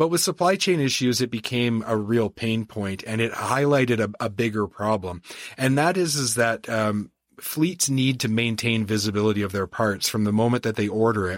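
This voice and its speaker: A plain, everyday voice from a man with a Canadian accent, medium pitch, ordinary pitch variation and moderate pace. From eastern Canada. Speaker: podcast host and parts industry consultant. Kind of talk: interview.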